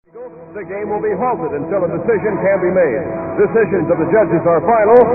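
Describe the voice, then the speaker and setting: Music plays in the background as a man speaks at a fairly quick pace. His pitch is high, with ordinary pitch variation. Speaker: radio disc jockey / contest host. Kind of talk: radio contest call-in banter. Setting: vintage AM radio broadcast recording, phone call.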